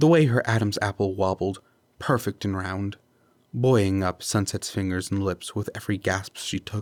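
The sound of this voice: Text delivered in an unforced reading voice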